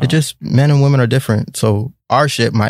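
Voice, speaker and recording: This man talks at a fairly quick pace with vocal fry and ordinary pitch variation. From Jamaican-American, Caribbean heritage. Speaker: podcast co-host. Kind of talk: casual chat.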